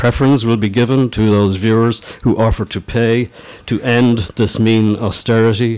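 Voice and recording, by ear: The text is read aloud in a natural voice.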